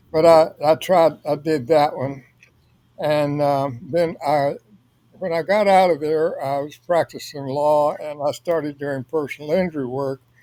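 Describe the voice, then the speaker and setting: A man with a Louisiana accent, fairly high in pitch, dark and mellow in tone, fairly even in intonation, at a fairly slow pace. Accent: Southern US (Louisiana). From US South (northwest Louisiana near Texas). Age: 80s+. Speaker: author, retired lawyer. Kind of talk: interview. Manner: halting.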